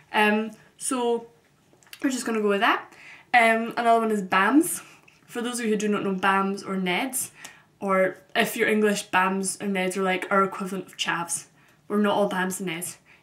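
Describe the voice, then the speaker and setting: A woman speaks at a moderate pace and a medium pitch, with fairly even intonation. Noticeable background noise sits behind her. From Scotland, Glasgow. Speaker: vlogger. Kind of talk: casual vlog monologue. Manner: frequent ums, conversational.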